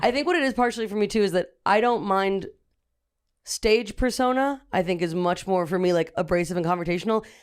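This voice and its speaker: In a normal speaking voice, a woman talks at a fairly quick pace and medium pitch, with ordinary pitch variation and very even loudness, in a very clean recording with a silent background. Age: 20s. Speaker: comedian. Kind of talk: casual chat.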